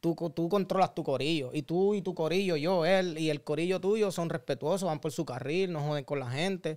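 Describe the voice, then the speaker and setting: A man speaks at a moderate pace with hardly any pauses, his pitch high. The recording is very clean, with a silent background. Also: ordinary pitch variation. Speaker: motorcyclist. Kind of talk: casual chat.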